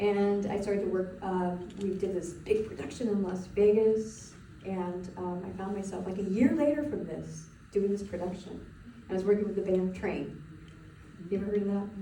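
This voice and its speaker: There's audible room echo and noticeable background noise as a woman speaks at a medium pitch with fairly even intonation. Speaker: spiritual coach. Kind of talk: webinar presentation. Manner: fast; casual, halting with fillers.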